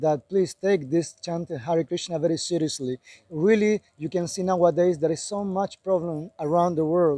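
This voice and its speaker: A man with a Spanish accent speaks at a moderate pace in a high pitch, his intonation fairly even. His tone is dark and mellow, and the sound is dry and close with no echo. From Chile. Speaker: Hare Krishna devotee. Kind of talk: street interview.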